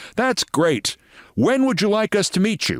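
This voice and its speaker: A man does a put-on character voice with a European accent, pitched high. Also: moderate pace, lively intonation, very clean recording, silent background. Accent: thick European. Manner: eager, friendly.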